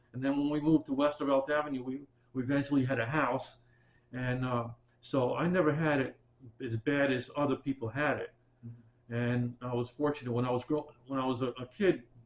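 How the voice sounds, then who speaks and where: This man speaks with a New York accent at a medium pitch. His pace is fairly quick and his intonation fairly even. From Bronx, New York. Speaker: military veteran and retired teacher. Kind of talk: oral history interview answer.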